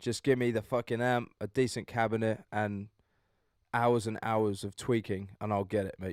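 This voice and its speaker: Dry and close with no echo, a man's fairly low, monotone voice sounds flat on a very clean recording with a silent background. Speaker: metal vocalist and guitarist streamer. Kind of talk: live stream chat. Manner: casual, swearing, chatty.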